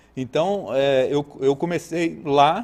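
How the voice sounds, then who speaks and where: At a very slow pace, the speaking goes on, and the pitch varies in an ordinary way. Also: man. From Rio de Janeiro state, Brazil (Araruama, Lakes Region). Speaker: horse trainer. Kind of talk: podcast interview.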